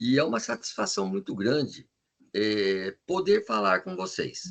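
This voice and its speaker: The sound is dry and close with no echo as a man at medium pitch makes very wide pitch swings. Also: fairly slow pace. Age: 70s. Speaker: criminal defence lawyer, jury trial veteran. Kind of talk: podcast interview.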